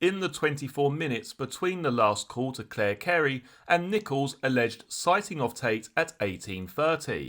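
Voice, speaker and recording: In a very clean recording with a silent background, a man with a medium pitch uses an unremarkable speaking voice, lively intonation and a moderate pace. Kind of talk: true crime narration.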